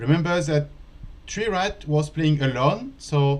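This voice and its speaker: The speech comes at a fairly slow pace in a French accent. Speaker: chess teacher. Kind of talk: live commentary. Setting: live stream studio.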